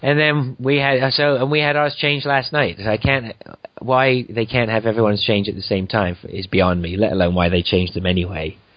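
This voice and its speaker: A man at a medium pitch and fairly quick pace, lively in intonation, against noticeable background noise. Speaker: podcast host. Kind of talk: casual chat. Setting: remote call between countries.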